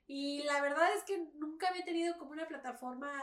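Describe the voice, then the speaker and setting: Fairly quick speech from a woman, high in pitch. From Mexico. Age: 20s. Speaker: cosplayer and streamer. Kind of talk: casual chat.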